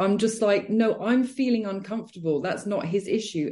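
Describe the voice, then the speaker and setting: In a British accent, a woman with a dark, mellow tone speaks at a moderate pace with lively intonation. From Britain. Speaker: podcast host and personal trainer. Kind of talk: podcast interview.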